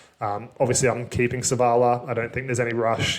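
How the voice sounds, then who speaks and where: This man speaks with an Australian accent. His pitch sits in the medium range. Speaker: fantasy sports youtuber. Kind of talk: solo commentary video. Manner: fast; casual, filler-heavy.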